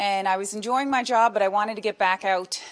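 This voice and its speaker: Speech in a Newfoundland accent comes at a fairly quick pace with ordinary pitch variation. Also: woman. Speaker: police constable. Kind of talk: storytelling talk at book launch. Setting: book launch event with live audience.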